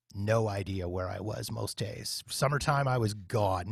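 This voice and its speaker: A man with a Canadian accent speaks with ordinary pitch variation and a somewhat breathy voice, recorded very cleanly against a silent background with a dry, close sound and no echo. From Canada, Winnipeg. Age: 40s. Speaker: podcast host and former radio worker. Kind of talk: casual interview chat.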